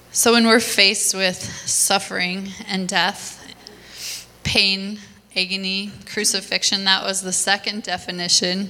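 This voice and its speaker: A woman's monotone, flat voice with long, frequent pauses, over noticeable background noise. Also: medium pitch for a woman. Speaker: nurse. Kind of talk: testimony. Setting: church stage with audience.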